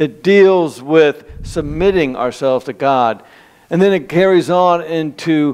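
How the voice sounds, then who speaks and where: Against a quiet background, a man's speech unfolds at a fairly slow pace. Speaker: preacher. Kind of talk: sermon. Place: church.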